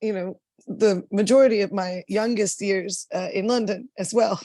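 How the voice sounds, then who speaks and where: Dry and close with no echo, a woman with a Texan accent speaks in a dark, mellow tone at a moderate pace with fairly even intonation. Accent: Texan American English. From Dallas, Texas. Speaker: singer-songwriter, goth band frontwoman. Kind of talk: casual interview chat.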